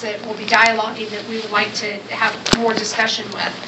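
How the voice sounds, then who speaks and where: Audible room echo and noticeable background noise accompany speech delivered at a moderate pace. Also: woman. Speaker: development agency official, panelist. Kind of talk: panel talk. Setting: panel event with microphone. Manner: loud.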